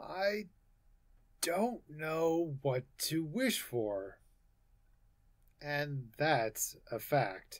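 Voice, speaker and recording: In a put-on character voice, a man speaks very slowly with a fairly high pitch, very wide pitch swings and long, frequent pauses. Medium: read story. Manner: slow, hesitant.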